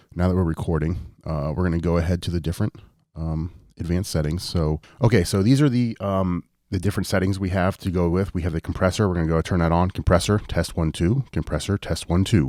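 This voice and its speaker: A soft-spoken man with a very deep, low pitch and a dark, mellow tone is heard on a very clean recording against a silent background. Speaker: tech tutorial youtuber. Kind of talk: tutorial. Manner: fairly soft-spoken.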